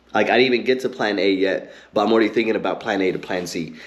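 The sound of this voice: Fast, fairly low-pitched male speech with ordinary pitch variation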